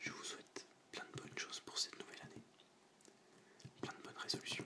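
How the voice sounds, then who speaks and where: Someone whispers at a very fast pace amid noticeable background noise. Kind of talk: ASMR video game collection presentation. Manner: whispered.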